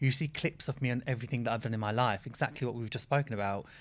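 Very fast speech from a man at a medium pitch, with fairly even intonation, on a very clean recording with a silent background. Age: 20s. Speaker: reality TV personality. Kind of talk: casual chat.

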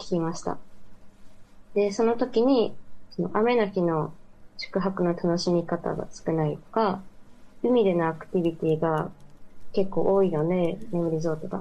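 The tone here is dark and mellow, belonging to a woman. She talks at a fairly slow speed. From Mie Prefecture, Japan. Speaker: university student. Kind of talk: remote interview. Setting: remote call.

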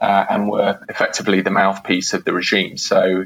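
At a moderate pace, a man speaks in a British accent. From UK. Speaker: historian. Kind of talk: interview. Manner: halting, many fillers.

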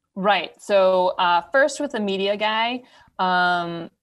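Ordinary pitch variation from a woman with a Wisconsin accent, speaking at a fairly slow pace. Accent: Upper Midwest (Wisconsin). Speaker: ultrarunner, charity race founder. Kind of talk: podcast interview, casual.

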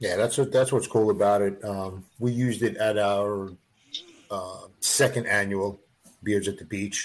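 In a normal speaking voice, a man talks at a fairly slow pace and fairly low pitch, his intonation fairly even. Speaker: beard club organizer. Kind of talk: casual chat.

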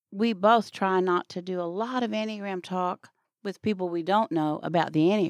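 A woman speaks at a moderate pace in a plain, everyday voice, her medium pitch rising and falling in an ordinary way over a quiet background. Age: 60s. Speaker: author and former coach. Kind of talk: interview.

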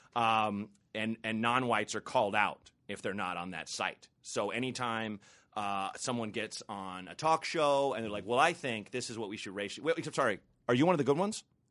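A man's bright, sharp voice in a General American accent, at a fairly quick pace with big swings in loudness, against a quiet background. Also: medium pitch for a man, ordinary pitch variation. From US Pacific Northwest, Portland, Oregon. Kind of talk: casual chat. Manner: halting, many repeated words.

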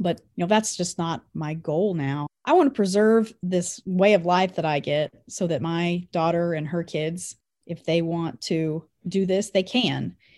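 In a Kansas accent, the speaker talks at a fairly slow pace with ordinary pitch variation over a very clean recording and a silent background. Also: woman, fairly low pitch for a woman. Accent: rural Midwestern US (Kansas). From Kansas, Anderson County. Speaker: rancher and agricultural communications director. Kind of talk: interview. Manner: loud.

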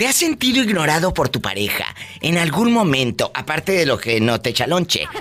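Speech at a moderate pace plays over music in the background. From Mexico City. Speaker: radio host. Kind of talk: live call-in radio show. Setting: radio studio. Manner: animated.

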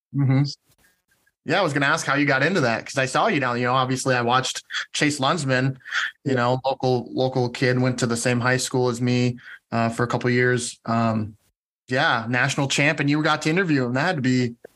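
A man with an ordinary speaking voice, medium pitch and fairly even intonation, at a fairly quick pace and very even loudness, on a very clean recording with a silent background. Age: 30s. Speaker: podcast host. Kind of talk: casual interview chat.

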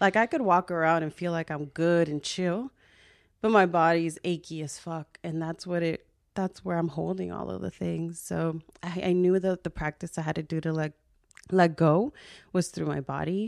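In a quiet background, a woman talks at a moderate pace. She has a plain, everyday voice and a fairly low pitch. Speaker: social worker and podcaster. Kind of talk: casual chat.

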